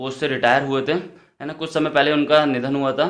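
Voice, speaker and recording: A man's fairly high-pitched voice, fairly quick in pace and monotone, with flat intonation. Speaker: vlogger. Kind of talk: casual vlog chat. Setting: at a relative's home, kitchen and drawing room.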